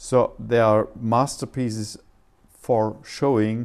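In a German accent, a man is talking. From Germany. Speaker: composer and silent film musician. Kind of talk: interview. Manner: halting.

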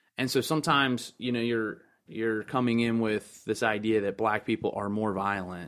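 A man with an American accent talks in an ordinary speaking voice at a fairly low pitch, with ordinary pitch variation. His pace is moderate, and the recording is very clean with a silent background. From Baltimore County, Maryland. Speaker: urban youth pastor. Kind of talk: casual chat.

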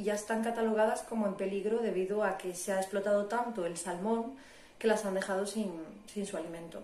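Someone speaks in a northern Spanish accent with fairly even intonation. The room echo is audible. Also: woman. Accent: northern Peninsular Spanish. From northern Spain, Asturias. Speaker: biologist and professional diver. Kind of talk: interview, explanatory.

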